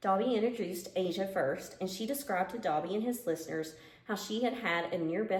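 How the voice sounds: A natural reading voice is heard in this recording.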